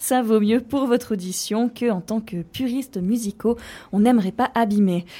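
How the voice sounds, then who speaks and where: Over a silent background in a very clean recording, a dark, mellow voice moves at a moderate pace with fairly even intonation. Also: woman, fairly high pitch for a woman. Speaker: radio host. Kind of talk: casual chat.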